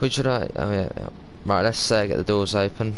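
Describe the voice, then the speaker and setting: Here a man speaks with a southern English accent. His pitch is very deep and low, with ordinary variation. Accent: southern English, South Coast. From southern England, Sussex. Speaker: game streamer. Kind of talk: casual live stream chat with gameplay.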